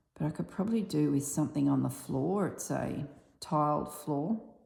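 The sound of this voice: A woman uses a raspy, husky put-on character voice, pitched very deep and low, speaking at a fairly slow pace with a slight echo.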